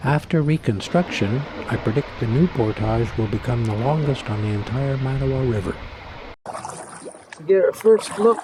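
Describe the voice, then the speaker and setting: Noticeable background noise runs under the recording. A man speaks at a fairly slow pace. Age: 60s. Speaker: wilderness canoe vlogger. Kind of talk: casual talk to camera outdoors; travel vlog narration. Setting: outdoors on a river.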